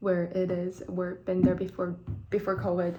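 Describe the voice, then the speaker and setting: The voice carries a Chinese accent and a dark, mellow tone. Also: woman. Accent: Chinese (Mandarin). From northeast China, Shenyang. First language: Mandarin Chinese. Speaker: vlogger. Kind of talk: personal vlog monologue. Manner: halting, many fillers.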